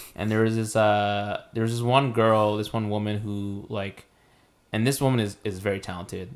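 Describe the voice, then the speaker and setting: A man's fairly low voice, monotone and flat in intonation, at a moderate pace. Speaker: podcast co-host. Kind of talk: casual chat. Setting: studio podcast with mics. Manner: loud; halting, many fillers.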